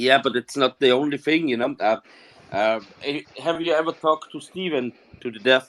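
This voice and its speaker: A man with a non-native accent speaks at a fairly high pitch and a moderate pace. His loudness swings widely, and the sound is dry and close with no echo. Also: ordinary pitch variation. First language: not English. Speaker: podcast host. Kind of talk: casual chat. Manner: halting, many fillers.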